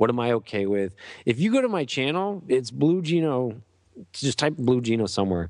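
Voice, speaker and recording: Against a quiet background, a man speaks in an animated tone with lively intonation. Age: 30s. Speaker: podcaster and YouTuber. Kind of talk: casual chat.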